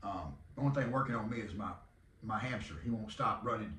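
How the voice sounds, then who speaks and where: With a Southern US accent, a man speaks over noticeable background noise in a room with audible echo. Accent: Southern country drawl. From Texas. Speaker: podcast host and arena football team owner. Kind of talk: casual monologue.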